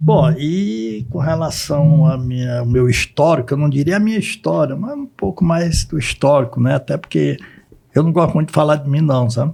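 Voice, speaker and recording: A fairly high-pitched man with a dark, mellow, somewhat breathy tone, ordinary pitch variation and a moderate pace. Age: 70s. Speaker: lawyer and professor. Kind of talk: interview. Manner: halting.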